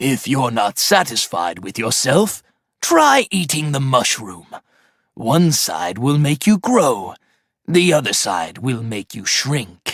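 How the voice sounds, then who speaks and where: A man's cartoonish character voice at medium pitch and a fairly slow pace, on a very clean recording with a silent background. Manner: curt, dismissive.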